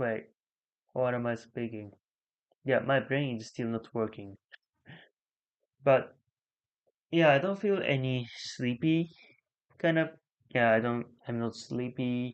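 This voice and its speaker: Speaking fairly slowly with long, frequent pauses, a man with a Japanese accent uses a medium pitch and ordinary pitch variation. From Japan, Chiba. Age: 20s. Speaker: live streamer. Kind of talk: casual live stream chat. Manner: halting.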